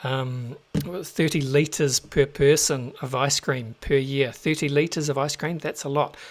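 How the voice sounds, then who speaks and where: With a New Zealand accent, a man of fairly high pitch speaks at a fairly slow pace in monotone, flat intonation with hardly any pauses. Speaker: crypto show host. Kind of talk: solo market commentary show. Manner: casual, with many fillers.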